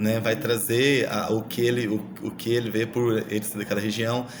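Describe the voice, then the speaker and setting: With a strong Minas Gerais accent, a man speaks at a medium pitch in a monotone, flat intonation. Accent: strong Minas Gerais (mineiro). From Brazil, Minas Gerais. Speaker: university student. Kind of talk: recorded class presentation. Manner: halting, many repetitions and fillers.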